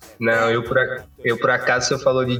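With music in the background, a man's voice carries a clear echo from the room. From Cape Verde. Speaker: engineering student. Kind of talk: casual chat.

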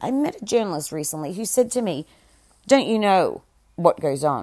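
On a very clean recording with a silent background, a woman with an Australian accent speaks at a moderate pace in an animated tone, her pitch swinging very widely. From Australia, Melbourne. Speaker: podcast host, SEO marketer. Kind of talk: solo monologue podcast. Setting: home recording without proper audio equipment. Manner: animated, rambling with fillers.

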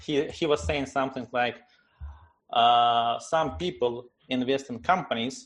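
Speaking with a Russian accent, a man talks at a fairly slow pace with a medium pitch and lively intonation. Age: 30s. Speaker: tech startup CEO. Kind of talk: interview. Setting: video call.

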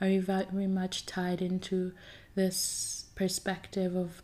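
Dark and mellow in tone, a woman talks at a very slow pace with a medium pitch. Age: 20s. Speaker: solo podcast host. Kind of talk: personal monologue.

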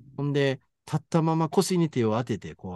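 A man's dark, mellow voice, dry and close with no echo, over a quiet background. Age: 50s. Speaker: podcast co-host discussing translated fiction. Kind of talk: casual chat.

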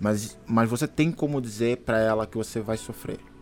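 A man speaks at a medium pitch with fairly even intonation. Music plays in the background. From Angola. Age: 30s. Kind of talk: casual interview with religious teaching. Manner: hesitant with fillers.

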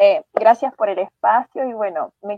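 A woman talks at a moderate pace with ordinary pitch variation. Hers is an ordinary speaking voice. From Chile. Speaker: schoolteacher. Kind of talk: radio panel discussion.

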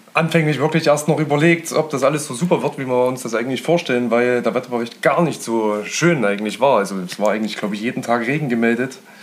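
A man talks very fast at a medium pitch with ordinary pitch variation. Noticeable background noise sits behind him. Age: 30s. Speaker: hobby angler. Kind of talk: casual chat. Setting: friends' living room.

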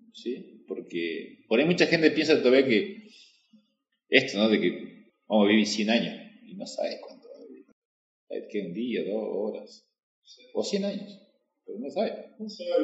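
Speaking at a moderate pace, a man leaves long, frequent pauses, his loudness swinging widely, in a room with audible echo. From Argentina, Salta. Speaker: podcast host. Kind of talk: interview conversation. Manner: casual, filler-heavy.

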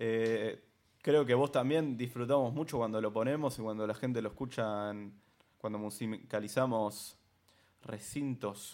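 The recording is very clean, with a silent background. It features a normal speaking voice with ordinary pitch variation. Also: man. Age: 20s. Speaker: podcast co-host and DJ. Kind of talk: casual chat.

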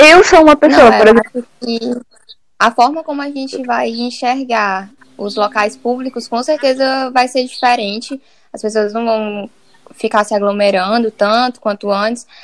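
An unremarkable speaking voice from a woman, fairly high in pitch with ordinary variation, at a moderate pace with big swings in loudness. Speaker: architecture student. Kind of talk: casual chat.

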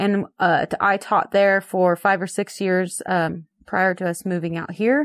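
A woman with an American accent speaks in an ordinary speaking voice at a medium pitch, fairly slowly and with fairly even intonation. The recording is very clean with a silent background and a dry, close sound with no echo. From northern California. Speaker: ranch wife and agriculture educator. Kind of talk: interview.

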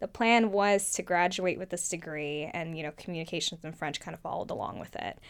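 Speaking in a normal speaking voice with an American accent, a woman talks at a fairly quick pace with hardly any pauses. Her pitch is fairly low and varies in an ordinary way. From US, Oregon. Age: 20s. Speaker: former rose queen. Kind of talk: casual interview.

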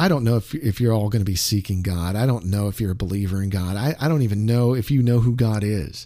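In a very clean recording with a silent background, a man talks at a fairly quick pace with a fairly low pitch, a dark, mellow tone, and ordinary pitch variation. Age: 50s. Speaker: radio disc jockey. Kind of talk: casual chat.

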